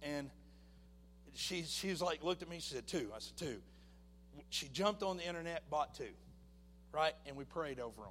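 Long, frequent pauses break up a man's speech at a moderate pace. His voice is fairly high and his intonation lively. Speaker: minister. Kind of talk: testimony. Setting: church. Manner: halting.

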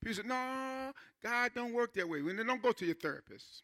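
Raised and projected, this man's voice sits at an extremely high pitch with a bright, sharp tone and ordinary pitch variation. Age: 60s. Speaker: pastor. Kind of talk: sermon. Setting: church. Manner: halting.

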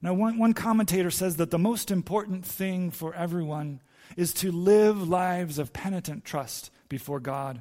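Someone reads aloud in a natural voice, the pitch varying in an ordinary way.

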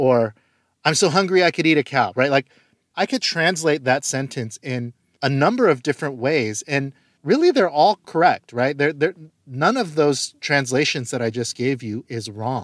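A man with an American accent speaks at a fairly high pitch and moderate pace, with ordinary pitch variation. The sound is dry and close with no echo, in a very clean recording with a silent background. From Korean American, US. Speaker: pastor. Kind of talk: teaching talk.

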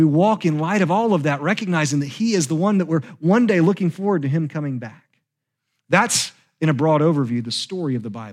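Heard in a very clean recording with a silent background, a man with a normal speaking voice and fairly high pitch speaks with lively intonation. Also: fairly quick pace. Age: 30s. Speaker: pastor. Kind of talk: sermon.

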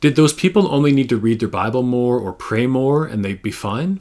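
This man has an ordinary speaking voice, with a Canadian accent, medium pitch and a moderate pace. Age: 40s. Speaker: public speaker, former teacher. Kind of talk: pre-recorded talk to a church. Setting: recorded video presentation.

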